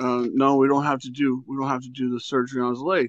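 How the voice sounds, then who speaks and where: A man's medium-pitched, monotone voice at a moderate pace, flat in intonation, dry with no echo against a quiet background. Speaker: caller sharing paranormal experiences. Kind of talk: personal storytelling. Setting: phone call. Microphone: phone line.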